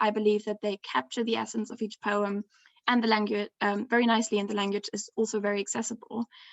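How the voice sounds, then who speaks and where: A woman at a fairly high pitch and a fairly quick pace. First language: not English. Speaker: graduate student presenting research. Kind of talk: academic conference talk. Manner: hesitant, frequent ums.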